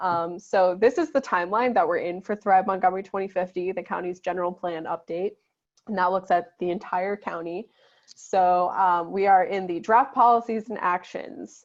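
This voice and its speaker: At a moderate pace and medium pitch, a woman talks in an ordinary speaking voice with fairly even intonation. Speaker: housing advocate and event host. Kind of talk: slide presentation. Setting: video call.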